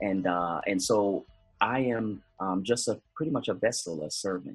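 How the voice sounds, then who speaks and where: Music plays in the background as a man talks in an American accent. His pitch is fairly low, with ordinary variation. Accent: Jamaican-tinged North American. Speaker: motivational speaker. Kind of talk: interview. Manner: halting, many fillers and repeats.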